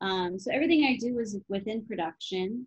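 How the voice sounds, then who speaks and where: With an American accent and a somewhat breathy voice, the speaker keeps a moderate pace and ordinary pitch variation, over a quiet background in a dry sound with no echo. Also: woman. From Chicago area, Illinois; Illinois. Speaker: actress and comedian; actress, comedian. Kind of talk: interview. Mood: cheerful, animated. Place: home room. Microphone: webcam.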